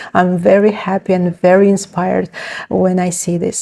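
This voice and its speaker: A woman speaks with a Ukrainian accent. Her pace is moderate. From Ukraine. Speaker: book vlogger. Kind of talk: casual vlog, book haul. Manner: hesitant, many fillers.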